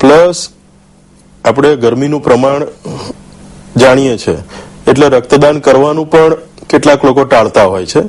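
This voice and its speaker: Against noticeable background noise, a man speaks in a fairly high pitch with ordinary pitch variation. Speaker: blood donor and Red Cross volunteer. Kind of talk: TV interview answer.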